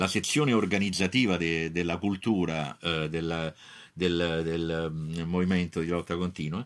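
Recorded very cleanly with a silent background, a man with a very deep, low pitch speaks at a fairly slow pace and with fairly even intonation. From Naples, Italy. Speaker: professor. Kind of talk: testimony. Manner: halting.

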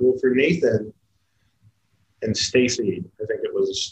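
A man speaks with an American accent. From US Midwest, Kansas City. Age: 40s. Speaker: drummer and tour manager. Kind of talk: casual chat.

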